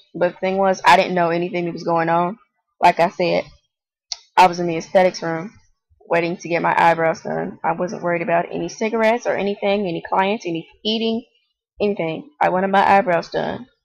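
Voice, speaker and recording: This woman talks at a fairly quick pace, her fairly low voice held to a fairly even intonation. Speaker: vlogger. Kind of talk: personal storytelling vlog. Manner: monotone.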